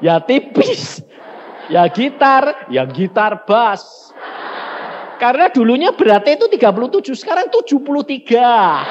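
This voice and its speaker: This man talks in an animated tone at an extremely high pitch, with very wide pitch swings and a fairly slow pace. Noticeable background noise runs underneath. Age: 60s. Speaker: evangelist preacher. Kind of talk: sermon. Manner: animated, colloquial storytelling.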